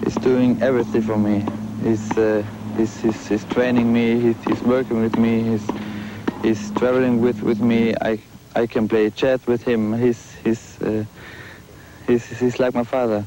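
Amid noticeable background noise, this man talks fairly slowly and takes long, frequent pauses. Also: dry sound with no echo. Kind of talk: interview answer. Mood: relaxed, slightly shy. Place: garden.

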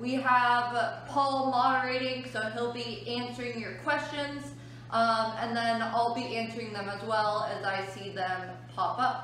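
Strong room echo and light background noise surround speech at a fairly slow pace. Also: woman, ordinary pitch variation. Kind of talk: educational talk to children. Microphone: phone near.

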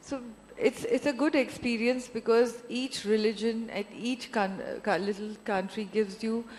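In an Indian accent, a woman speaks at a fairly slow pace. Her pitch is fairly high, with ordinary pitch variation. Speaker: film producer. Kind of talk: onstage interview. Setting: stage with audience.

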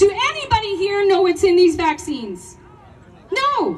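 A woman speaks in a passionate tone at an extremely high pitch with very wide pitch swings. Her pace is fairly slow, with light background noise behind her. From Canada. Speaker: teacher and protest speaker. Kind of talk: protest speech to a rally crowd. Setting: outdoor rally with crowd. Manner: passionate, forceful, rallying and confrontational; call-and-response, asks the crowd questions. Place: open country.

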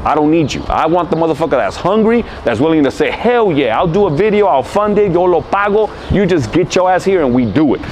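Animated in tone, a man with an American accent speaks at a high pitch with lively intonation over light background noise. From Los Angeles, California. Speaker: rapper. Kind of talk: interview answer. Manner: casual, profane, animated. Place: street.

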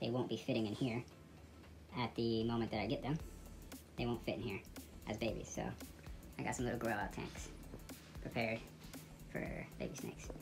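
A woman's very deep, low voice at a fairly quick pace, with clear music in the background. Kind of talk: casual vlog chat. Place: home room. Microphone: phone near.

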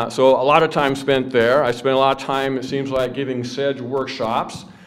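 A man's words come at a moderate speed against a quiet background. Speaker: biology professor. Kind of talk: conference lecture. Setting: stage with audience. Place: hall. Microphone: podium.

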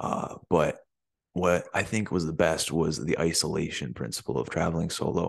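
A man's very deep, low voice with vocal fry and ordinary pitch variation, moderate pace, dry sound with no echo, and a quiet background. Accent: American. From US Midwest, small-town Michigan. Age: 20s. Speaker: vlogger. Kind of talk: casual vlog monologue. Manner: filler-heavy, hesitant. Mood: earnest, upbeat. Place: home room. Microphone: studio mic.

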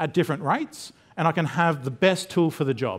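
Talking at a fairly quick pace, a man with an Australian accent uses ordinary pitch variation. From Queensland, Australia. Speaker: technology specialist; conference presenter. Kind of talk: conference talk. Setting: stage with audience. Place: hall.

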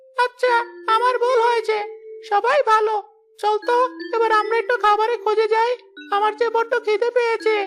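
A cartoonish character voice at a moderate pace. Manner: gentle, earnest.

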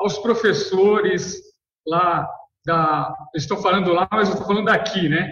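A man with a high-pitched voice talks at a fairly slow pace with ordinary pitch variation and long, frequent pauses. The background is quiet, with audible room echo. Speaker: professor. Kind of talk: webinar remarks. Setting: classroom without headset. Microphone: video call.

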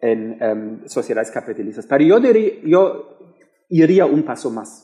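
A man speaks with a German accent. His pace is fairly slow. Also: quiet background. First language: German (speaking Spanish). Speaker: political science professor. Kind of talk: panel discussion. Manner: halting. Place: hall. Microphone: headset.

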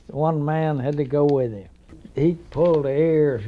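A man in a Southern US accent, fairly high in pitch, at a moderate pace. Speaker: war veteran. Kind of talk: interview answer.

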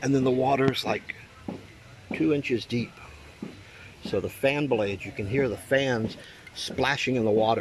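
A man's voice with ordinary pitch variation and long, frequent pauses, dry with no echo, over noticeable background noise. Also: moderate pace. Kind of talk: casual vlog tutorial. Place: garden. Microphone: phone near.

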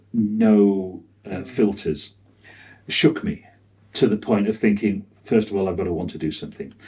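Against a quiet background, a man with a British accent speaks in a fairly low, dark, mellow voice with fairly even intonation. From UK. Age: 60s. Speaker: cinematographer; interview guest. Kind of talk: interview. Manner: halting. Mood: reflective, candid.

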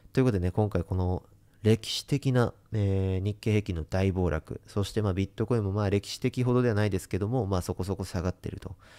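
Speaking at a fairly quick pace, a man with a fairly low pitch and a dark, mellow tone keeps his intonation fairly even. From Japan. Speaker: investment YouTuber. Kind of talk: monologue to camera; commentary to camera. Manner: many filler sounds. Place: home room. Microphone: studio mic.

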